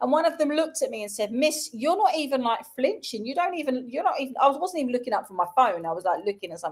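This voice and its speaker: In a London accent, a woman talks at a very fast pace and a high pitch, her tone animated, her pitch swinging very widely and her loudness shifting in big swings. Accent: London accent, Cockney roots. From South London, England. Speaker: schoolteacher and show co-host. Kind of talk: casual chat.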